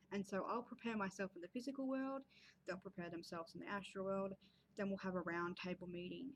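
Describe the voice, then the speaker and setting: A somewhat breathy woman's voice at medium pitch, very fast pace, and ordinary pitch variation. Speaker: creative writing and spirituality vlogger. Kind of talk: casual vlog talk. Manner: hesitant fillers.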